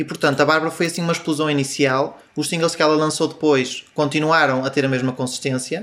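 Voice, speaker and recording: A man with a normal speaking voice, fairly high and fairly even in intonation, moves at a fairly quick pace with hardly any pauses. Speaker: music website editor. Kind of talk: panel discussion.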